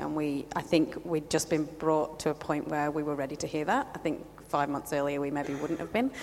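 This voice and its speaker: Over noticeable background noise, a woman with a very deep, low pitch talks fairly quickly in a monotone, flat intonation. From England. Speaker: church planter. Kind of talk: casual interview.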